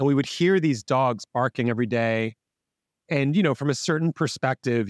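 A man talks at a fairly quick pace with an unremarkable speaking voice and ordinary pitch variation. The sound is dry and close with no echo, over a quiet background. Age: 50s. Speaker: business coach and author. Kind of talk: casual interview.

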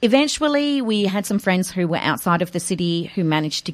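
With an Australian accent, a woman talks using lively intonation. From Australia, Adelaide. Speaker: author and educator. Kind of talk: interview.

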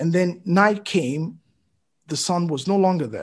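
A man with a Nigerian accent speaks with ordinary pitch variation. The background is quiet. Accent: Nigerian (Yoruba) English. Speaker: physician and writer. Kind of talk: casual conversation.

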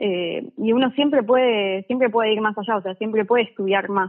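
The delivery comes at a moderate pace with fairly even intonation. It is a normal speaking voice. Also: woman. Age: 20s. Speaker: physics student. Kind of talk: casual chat. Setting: phone call.

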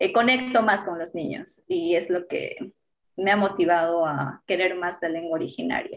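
With a plain, everyday voice, a woman speaks at a moderate pace with lively intonation. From Peru, Apurímac (Andean). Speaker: journalist and TV presenter. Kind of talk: interview.

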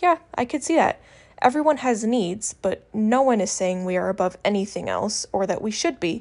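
With a quiet background, a woman with an unremarkable speaking voice talks at a fairly high pitch and moderate pace, her intonation lively. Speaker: first-time podcaster. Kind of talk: opinion monologue.

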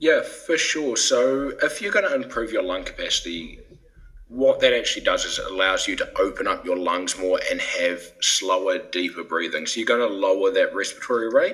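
Someone with a New Zealand accent talks at a moderate pace over noticeable background noise. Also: man. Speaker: breath training company scientist. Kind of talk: interview.

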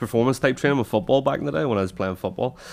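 With a Northern Irish accent, a man speaks in a very clean recording with a silent background. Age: 20s. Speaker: podcast host and personal trainer. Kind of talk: casual chat. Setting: studio.

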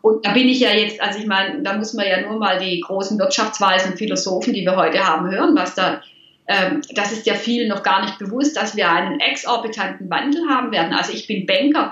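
At a fairly quick pace, a woman talks with medium pitch and ordinary pitch variation, amid audible room echo and noticeable background noise. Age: 50s. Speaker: money mindset coach. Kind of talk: interview.

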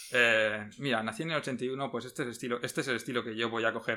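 A man speaks at a medium pitch with a bright, sharp tone and a fairly quick pace. The recording is very clean, with a silent background. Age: 40s. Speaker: podcast host. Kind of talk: casual chat.

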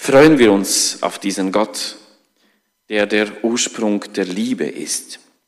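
A man speaks at a very slow pace with a non-native accent. His voice sits fairly low in pitch. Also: ordinary pitch variation. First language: not German (speaking German). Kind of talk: sermon. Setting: church.

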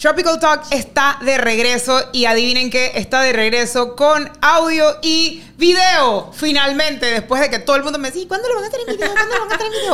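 A woman with a high pitch projects a raised voice at a fairly quick pace, with very wide pitch swings and hardly any pauses, amid noticeable background noise. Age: 30s. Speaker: podcast co-host. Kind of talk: casual chat.

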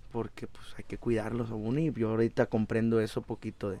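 A man's medium-pitched voice moves at a fairly quick pace, its intonation monotone and flat. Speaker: musician. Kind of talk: casual chat.

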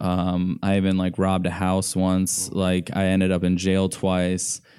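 On a very clean recording with a silent background, a man with a very deep, low pitch and a dark, mellow tone speaks at a fairly slow pace with an American accent. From US Midwest, Indianapolis. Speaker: cinematographer and church leader. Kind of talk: casual interview.

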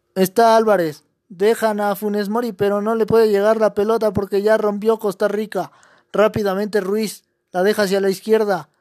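On a very clean recording with a silent background, a man speaks at a moderate pace in a high pitch and monotone, flat intonation. The sound is dry and close, with no echo. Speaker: football commentator. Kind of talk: live sports commentary. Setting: broadcast of the match.

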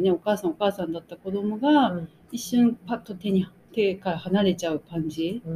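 A woman speaks at a moderate pace with a dark, mellow tone, somewhat breathy, with ordinary pitch variation. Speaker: magazine editor and podcast co-host. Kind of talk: casual chat.

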